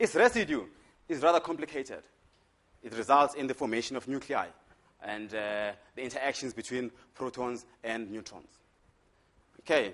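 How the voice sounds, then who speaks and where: A man speaks with a strong Zulu accent at a medium pitch with ordinary pitch variation. His loudness swings widely, and he leaves long, frequent pauses. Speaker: physics lecturer. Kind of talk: lecture. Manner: fast.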